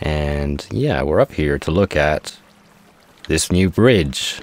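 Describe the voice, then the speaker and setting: Over noticeable background noise, a man with a very deep, low pitch talks in a relaxed tone at a fairly slow pace. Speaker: Minecraft gameplay YouTuber. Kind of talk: casual gameplay commentary. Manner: relaxed, low-energy; hesitant, filler-heavy.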